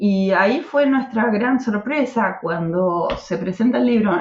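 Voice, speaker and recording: A woman's fairly high, somewhat breathy voice with lively intonation at a very slow pace. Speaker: political activist. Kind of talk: podcast interview.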